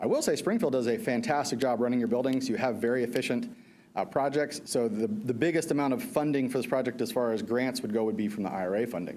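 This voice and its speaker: Talking at a very fast pace, a man has a dark, mellow tone, a medium pitch and lively intonation, with audible room echo around him. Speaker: energy services contractor presenter. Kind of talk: presentation to school board.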